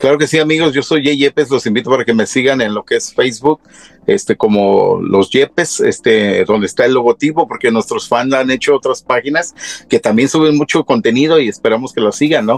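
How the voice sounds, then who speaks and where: A man speaks at a fairly quick pace with a fairly high pitch and ordinary pitch variation. His loudness stays very even, and the sound is dry and close with no echo. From Mexico, Michoacán (Tacámbaro), moved to US young. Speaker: singer. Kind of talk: casual interview. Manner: hesitant, many fillers.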